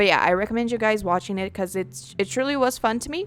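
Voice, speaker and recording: The speaker is female. Her speech carries a non-native accent. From non-English-speaking country. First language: not English. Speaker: gaming YouTuber. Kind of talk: casual gameplay commentary. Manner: loud, often yelling; halting, many restarts.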